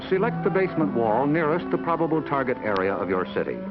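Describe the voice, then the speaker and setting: A man with an American accent at a fairly quick pace, his pitch swinging very widely, with music in the background. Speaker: newsman narrator. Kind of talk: documentary narration. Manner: measured.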